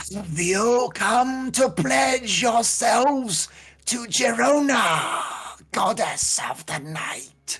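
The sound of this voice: A raspy, put-on character voice at a fairly high pitch drags along at a very slow pace.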